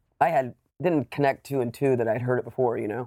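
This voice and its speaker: An ordinary speaking voice with an American accent moves at a fairly quick pace with ordinary pitch variation. The recording is very clean and silent in the background, with dry, close sound and no echo. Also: man. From US South, Savannah, Georgia. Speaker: documentary filmmaker and musician. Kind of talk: casual chat.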